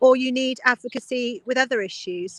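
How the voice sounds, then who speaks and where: Recorded dry and close with no echo, a woman with a southern English accent speaks in a bright, sharp tone with fairly even intonation. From Oxfordshire, England. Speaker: politician, local councillor. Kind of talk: interview answer.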